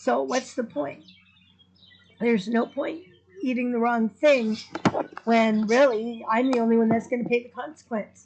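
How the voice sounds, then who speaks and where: Noticeable background noise accompanies a woman with a fairly high pitch. She keeps a moderate pace, broken by long, frequent pauses. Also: ordinary pitch variation. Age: 60s. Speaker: vlogger. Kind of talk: casual chat.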